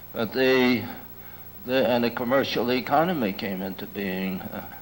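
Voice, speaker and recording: Audible room echo colors this recording of a man at medium pitch. He talks at a moderate pace with ordinary pitch variation. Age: old. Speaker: lecturer on ecology and culture. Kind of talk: lecture. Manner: halting, with many fillers.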